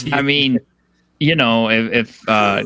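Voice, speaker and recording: The sound is dry and close with no echo as a man with an American accent talks in a bright, sharp tone. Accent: slight Texas accent, slips in at times. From Texas. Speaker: YouTube creator, panel regular. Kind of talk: casual chat.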